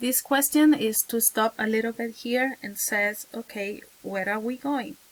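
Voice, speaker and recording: A woman with a Spanish accent speaks at a fairly slow pace. Her pitch variation is ordinary. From Venezuela. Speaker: teacher. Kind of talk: advice talk to camera. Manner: halting, many fillers.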